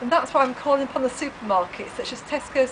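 A woman's voice with ordinary pitch variation over noticeable background noise. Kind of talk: campaign appeal to camera. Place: street. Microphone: camera far.

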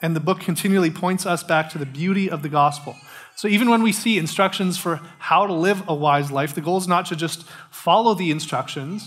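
The voice moves at a fairly quick pace with ordinary pitch variation. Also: man, high pitch for a man. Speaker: pastor. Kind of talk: sermon. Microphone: headset.

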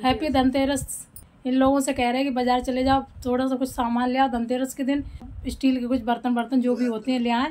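A woman speaks at a fairly quick pace in a high voice. Her intonation stays monotone and flat. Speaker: vlogger, mother. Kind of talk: casual home vlog.

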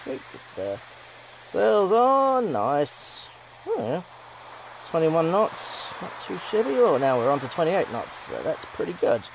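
Speech moves at a very slow pace. Noticeable background noise is present. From New Zealand. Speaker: gaming YouTuber. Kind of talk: gameplay commentary. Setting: home recording, gameplay. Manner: animated, exclamatory.

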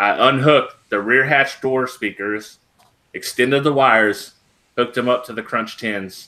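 Bright, sharp male tones delivered at a moderate speed. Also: fairly even intonation. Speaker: DIY YouTuber. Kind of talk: casual chat. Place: home room. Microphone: webcam.

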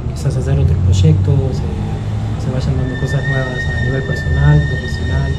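A man speaks at a fairly slow pace against loud background noise. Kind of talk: interview answer. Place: bar.

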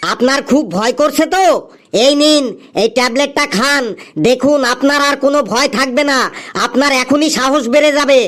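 A cartoonish character voice pitched high. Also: moderate pace. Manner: brisk, impatient.

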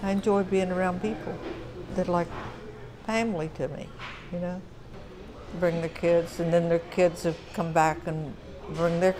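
With long, frequent pauses, a woman speaks at a moderate pace in a fairly low pitch and fairly even intonation, with noticeable background noise behind her. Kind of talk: interview answer. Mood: warm, nostalgic. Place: cafe.

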